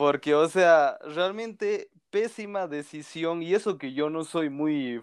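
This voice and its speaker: Against a quiet background, a man with a high pitch speaks at a very slow pace with lively intonation. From Bolivia. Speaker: film content creator. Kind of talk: casual chat.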